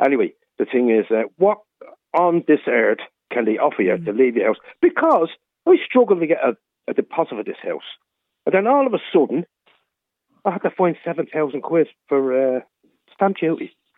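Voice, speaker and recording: A man with a Dublin accent speaks with long, frequent pauses. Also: moderate pace. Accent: Dublin Irish. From Dublin, Ireland. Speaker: caller. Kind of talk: phone-in radio chat. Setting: phone call.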